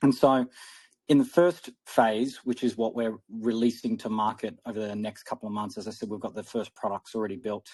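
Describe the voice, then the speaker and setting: Speaking fairly quickly and with fairly even intonation, a man is heard against a quiet background. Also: medium pitch for a man. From Australia. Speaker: crypto project founder. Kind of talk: interview.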